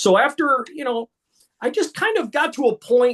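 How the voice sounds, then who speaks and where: A man speaks at a moderate pace with very wide pitch swings, in a dry, close sound with no echo. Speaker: ring announcer. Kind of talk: interview answer.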